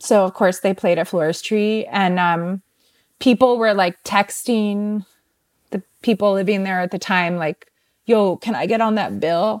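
A woman with a General American accent and a normal speaking voice, medium in pitch, fairly slow with fairly even intonation, in a very clean recording with a silent background and a dry, close sound with no echo. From Northern Virginia, outside DC. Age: 20s. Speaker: musician and artist. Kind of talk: casual interview chat.

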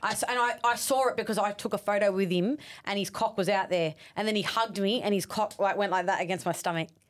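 A woman with an Australian accent, medium in pitch, at a very fast pace with very even loudness, on a very clean recording with a silent background. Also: ordinary pitch variation. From South West Sydney, Australia. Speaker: reality TV personality. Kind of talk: casual chat.

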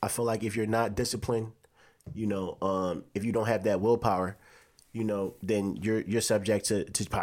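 At a moderate pace, a man speaks with a medium pitch on a very clean recording with a silent background. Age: 20s. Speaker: podcast co-host. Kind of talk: casual chat.

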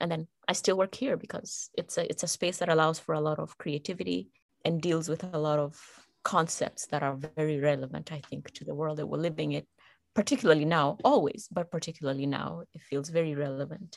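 Over a quiet background, a woman with a very deep, low voice and vocal fry speaks at a fairly quick pace with ordinary pitch variation, the sound dry and close with no echo. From Kenya. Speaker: peace building professional and podcaster. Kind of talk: casual chat.

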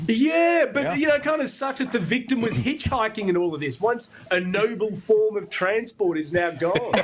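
A man's high-pitched voice in an Australian accent, with very wide pitch swings, a moderate pace and hardly any pauses, over noticeable background noise. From Brisbane, Australia. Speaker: comedy segment contributor. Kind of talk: casual chat.

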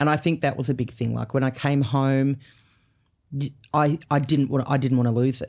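The speaker talks at a fairly quick pace in an Australian accent with monotone, flat intonation. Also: woman, very deep, low pitch for a woman. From Canberra, Australia. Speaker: comedian. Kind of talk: casual chat.

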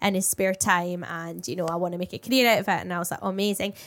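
A woman talks at a very fast pace with fairly even intonation. The recording is very clean, with a silent background. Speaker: radio and television presenter, podcast co-host. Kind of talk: casual chat.

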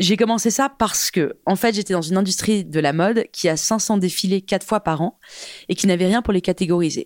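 A woman's medium-pitched, plain, everyday voice at a moderate pace, with ordinary pitch variation, on a very clean recording with a silent background. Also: very even loudness, dry, close sound with no echo. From France and England (half English, half French). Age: 30s. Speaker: fashion tech entrepreneur. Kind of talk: casual interview chat.

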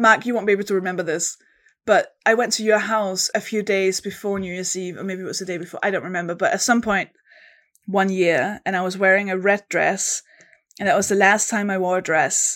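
A woman speaks in a Danish accent at a medium pitch. Her intonation stays fairly even. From Denmark. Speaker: comedian. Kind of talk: casual chat. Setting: video call.

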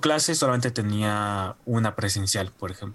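With a Mexican accent, a man speaks at a fairly slow pace with ordinary pitch variation. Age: 20s. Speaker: animation student. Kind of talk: casual interview.

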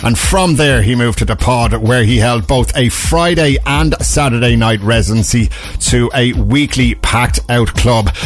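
Over background music, a man with an Irish accent speaks in an upbeat tone at a moderate pace, with hardly any pauses and very even loudness. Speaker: radio DJ. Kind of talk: late-night dance radio DJ patter: back-announcing tracks, plugging events and the station. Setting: radio studio. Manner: upbeat, smooth, promo-style delivery with hesitant 'uh' fillers; warm and enthusiastic about the music.

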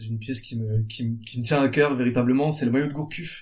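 In a room with audible echo, a man speaks somewhat breathily at a medium pitch and fairly quick pace, with ordinary pitch variation. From France, Bordeaux. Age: 30s. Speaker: entrepreneur, founder of a jersey business. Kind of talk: interview. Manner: halting, with frequent repetitions.

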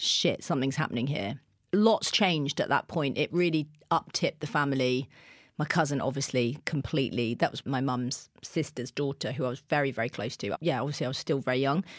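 A woman with a southern English accent speaks at a fairly quick pace in a very deep, low voice with ordinary pitch variation. The recording is very clean with a silent background, and the sound is dry and close with no echo. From southern England, Kent. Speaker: TV presenter and radio DJ. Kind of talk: casual chat.

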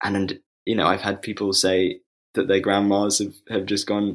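At a moderate pace, a man with a London accent speaks in a fairly low voice. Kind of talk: casual interview. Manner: halting, many fillers.

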